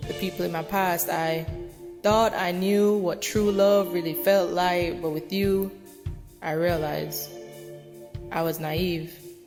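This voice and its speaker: Over music in the background, a woman speaks very slowly at a fairly low pitch with fairly even intonation. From Jamaica. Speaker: poet. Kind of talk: spoken word poetry reading.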